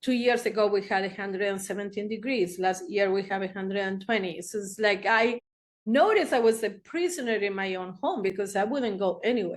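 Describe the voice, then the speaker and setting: Against a quiet background, a woman speaks with a Spanish accent. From Argentina, Buenos Aires. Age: 60s. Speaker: therapist. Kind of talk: interview storytelling.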